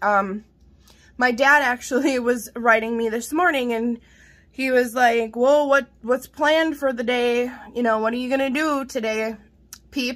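A high-pitched woman's animated voice at a fairly slow pace, with ordinary pitch variation and long, frequent pauses. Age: 40s. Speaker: vlogger, mother; vlogger. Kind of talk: casual vlog, haul show-and-tell. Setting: home kitchen. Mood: cheerful, chatty. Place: kitchen. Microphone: phone near.

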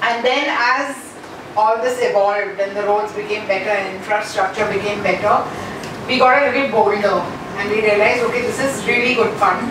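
A woman at a fairly quick pace with fairly even intonation, along with audible room echo and noticeable background noise. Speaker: conference presenter. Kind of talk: conference talk, personal storytelling. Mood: warm, cheerful. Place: hall.

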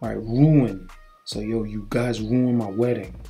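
With a Brooklyn accent and a relaxed tone, the speaker goes at a fairly slow pace while music plays in the background. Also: man. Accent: New York City (Brooklyn). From Brooklyn, New York City. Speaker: English teacher. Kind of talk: casual talk to camera. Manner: relaxed, chatty.

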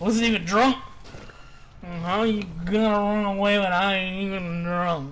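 Putting on a character voice, a man speaks at a moderate pace in a high pitch, with long, frequent pauses. Background noise is clearly present. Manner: belligerent, rambling.

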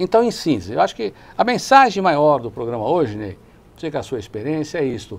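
Fairly high for a man, his voice moves at a fairly quick pace with very wide pitch swings and big swings in loudness. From Brazil, São Caetano do Sul (São Paulo ABC region); São Paulo, Brazil. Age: 60s. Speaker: lawyer and city councillor, co-host; lawyer, city councillor, co-host. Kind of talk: TV talk show discussion. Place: studio. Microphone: lapel.

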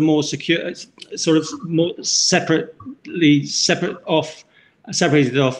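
A man speaks with fairly high pitch and fairly even intonation.

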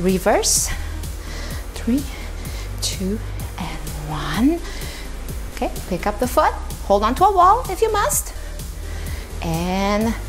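A very slow pace with long, frequent pauses over clear music in the background. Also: woman. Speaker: fitness instructor. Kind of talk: workout instruction. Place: empty room.

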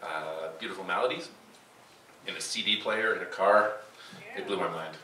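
A man is speaking. Light background noise and audible room echo are present. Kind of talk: stage banter introduction. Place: stage.

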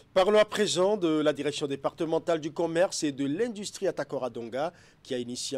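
A man with a fairly high pitch at a fairly quick pace, with very wide pitch swings. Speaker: TV news anchor. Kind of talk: news reading. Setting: studio. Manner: formal. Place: studio.

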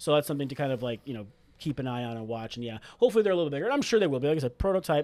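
A man talks at a very fast pace. His fairly high pitch carries lively intonation. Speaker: board game reviewer. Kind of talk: casual review discussion. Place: studio. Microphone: studio mic.

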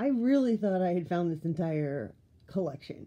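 Speaking at a moderate pace, a woman uses a fairly low voice with a dark, mellow tone and very wide pitch swings. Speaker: haul vlogger. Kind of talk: casual vlog chat. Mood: cheerful, playful. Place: home room. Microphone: phone near.

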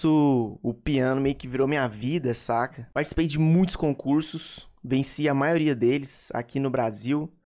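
Against a quiet background, the voice moves at a moderate pace with fairly even intonation. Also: man. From Brazil. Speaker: gaming YouTuber. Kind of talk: casual vlog talk to viewers. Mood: relaxed, reflective. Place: home room. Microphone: studio mic.

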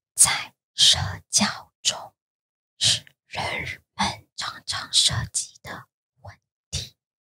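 Whispering at a very slow pace, a woman leaves long, frequent pauses, and her loudness swings widely. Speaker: podcast co-host. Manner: whispered.

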